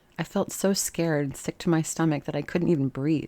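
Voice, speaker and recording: In a very clean recording with a silent background, a woman with a fairly low pitch speaks at a moderate pace in an unremarkable speaking voice. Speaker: ASMR reader. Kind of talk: ASMR sleep story reading.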